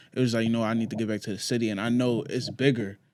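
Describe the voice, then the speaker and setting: Talking at a very fast pace, the man keeps a medium pitch. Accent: New York. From New York, Queens. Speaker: clothing brand founder. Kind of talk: podcast interview.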